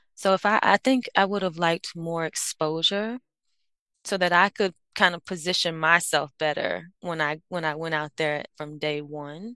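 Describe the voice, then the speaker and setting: A woman with an American accent speaks at a moderate pace in a bright, sharp tone with a fairly low pitch and ordinary pitch variation. The sound is dry and close with no echo, over a quiet background. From Miami, Florida. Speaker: organizational psychologist. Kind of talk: interview.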